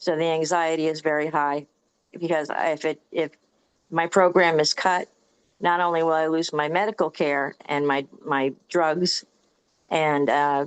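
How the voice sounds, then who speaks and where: Her voice very deep and low, a woman speaks at a moderate pace in a monotone, flat way. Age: 60s. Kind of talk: personal testimony in online meeting.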